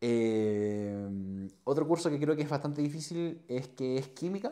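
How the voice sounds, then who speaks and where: A man with a Chilean accent and a dark, mellow tone against a quiet background. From Chile, Chillán. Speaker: nurse and streamer; podcast guest. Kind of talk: casual chat. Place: home room. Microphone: lapel.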